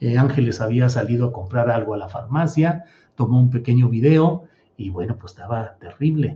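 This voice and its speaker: A somewhat breathy male voice of medium pitch, with ordinary pitch variation and a moderate pace. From Mexico, Torreón, raised in San Luis Potosí. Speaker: political journalist and show host. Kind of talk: live political commentary show. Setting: live stream.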